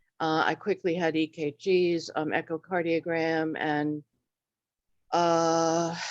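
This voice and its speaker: This woman's voice sits at a fairly low pitch. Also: quiet background. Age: 70s. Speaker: retired member asking questions. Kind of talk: Q&A meeting question. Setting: video call. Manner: halting.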